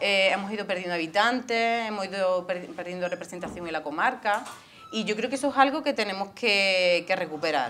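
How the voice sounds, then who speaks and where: The speaker talks at a fairly quick pace with lively intonation over light background noise. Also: woman. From Andalusia, Spain (Córdoba province). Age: 40s. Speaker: local political candidate. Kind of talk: interview. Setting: studio. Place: studio. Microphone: lapel.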